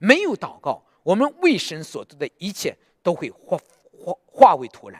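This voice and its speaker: Very wide pitch swings from a man with a high voice, a fairly slow pace, and a dry, close sound with no echo. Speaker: preacher. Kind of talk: sermon. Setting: church. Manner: emphatic, repeating phrases for exhortation; direct, conversational address to congregation.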